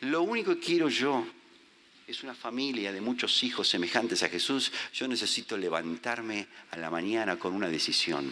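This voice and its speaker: A man speaks at a fairly slow pace in a bright, sharp tone with vocal fry. His pitch swings very widely. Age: 50s. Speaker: visiting preacher. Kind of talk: sermon.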